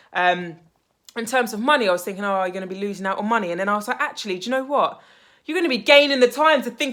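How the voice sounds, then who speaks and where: A loud, animated woman with a British accent, fairly high in pitch, at a very fast pace with very wide pitch swings, in a very clean recording over a silent background. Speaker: life coach / mindset vlogger. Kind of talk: motivational vlog monologue.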